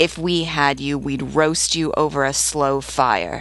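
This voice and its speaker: Shouting in a put-on character voice, someone speaks at a fairly slow pace with a low-to-middle pitch. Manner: shouting, threatening.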